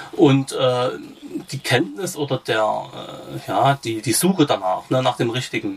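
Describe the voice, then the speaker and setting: The speaker is a man, with noticeable noise behind him. He goes at a fairly slow pace. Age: 40s. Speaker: patient with rare disease, peer supporter. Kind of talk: interview. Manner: halting, many fillers.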